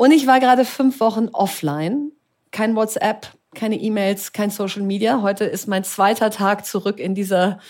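A woman's unremarkable speaking voice at a moderate pace, with ordinary pitch variation, in a very clean recording with a silent background. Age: 40s. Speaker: entrepreneur and investor. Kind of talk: live talk interview. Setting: live event with audience.

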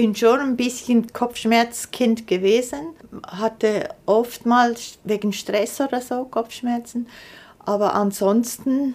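With fairly even intonation, a woman talks at a very slow pace. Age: 60s. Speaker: chronic pain patient, artist. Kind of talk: interview testimony.

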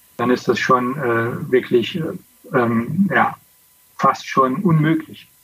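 This is a man with a medium pitch. He talks at a very slow pace. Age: 50s. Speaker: former pro cyclist. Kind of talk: casual interview. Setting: video call.

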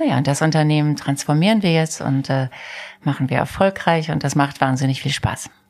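A woman's very deep, low pitch at a fairly quick pace, with ordinary pitch variation and very even loudness. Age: 50s. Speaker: company CEO. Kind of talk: interview. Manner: animated.

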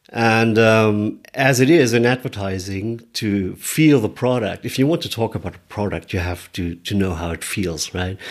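Recorded very cleanly against a silent background, a man with a German accent talks at a moderate pace with ordinary pitch variation. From Germany, Munich. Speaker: motorcycle adventurer and speaker. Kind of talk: interview. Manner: halting.

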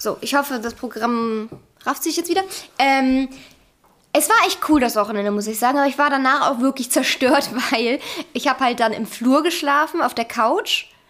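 A loud woman's voice sits high in pitch, with ordinary pitch variation. She keeps a moderate pace with long, frequent pauses. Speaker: podcast co-host. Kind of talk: casual chat.

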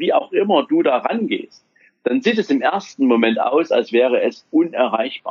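A man talks at a fairly slow pace. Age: 40s. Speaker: wealth manager. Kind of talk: interview.

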